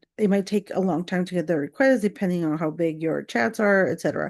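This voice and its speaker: A woman with a non-native accent speaks at a fairly low pitch. Her tone is dark and mellow, and the background is quiet. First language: not English. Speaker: content creator. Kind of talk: casual rant vlog. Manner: rambling with many fillers.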